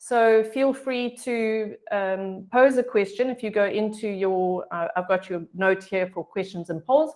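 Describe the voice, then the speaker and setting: A woman speaks with a South African accent and a fairly high pitch. Her pace is fairly slow and her pitch varies in an ordinary way. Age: 50s. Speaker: health coach. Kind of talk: online presentation. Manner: hesitant, many fillers.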